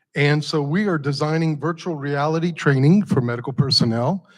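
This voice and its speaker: At a moderate pace and with ordinary pitch variation, an unremarkable speaking voice comes through a very clean recording over a silent background. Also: man. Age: 60s. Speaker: nonprofit founder and entrepreneur presenter. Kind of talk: pitch presentation. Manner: conversational, addresses audience.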